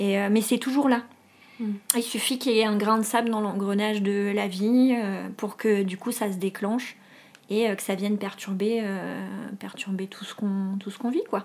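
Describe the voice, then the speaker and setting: Monotone, flat intonation at a fairly slow pace. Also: woman, medium pitch for a woman. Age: 30s. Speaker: dental technology trainer sharing eczema experience. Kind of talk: testimony.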